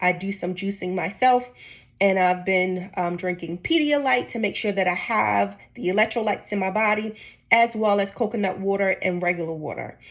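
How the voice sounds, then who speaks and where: A woman talks at a moderate speed. Her voice is medium in pitch, with ordinary pitch variation. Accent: New Jersey. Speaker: vlogger. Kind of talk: personal vlog.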